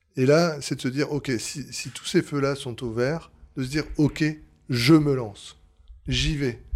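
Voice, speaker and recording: With long, frequent pauses, a man speaks in a fairly high pitch and fairly even intonation on a very clean recording with a silent background. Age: 30s. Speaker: bar franchise co-founder. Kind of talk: interview. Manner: hesitant.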